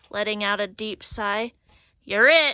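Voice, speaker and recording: A woman puts on a character voice, fairly high in pitch and fairly slow in pace. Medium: read story.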